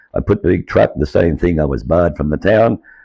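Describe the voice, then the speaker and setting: The speaker has an Australian accent. The delivery moves at a fairly quick pace. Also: man. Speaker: former market trader. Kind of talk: personal testimony.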